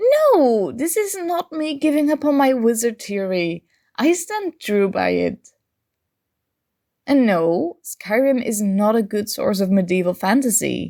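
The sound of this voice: In a put-on character voice, a woman speaks at a fairly high pitch with a dark, mellow tone, vocal fry and big pitch swings, at a fairly slow pace, on a very clean recording with a silent background.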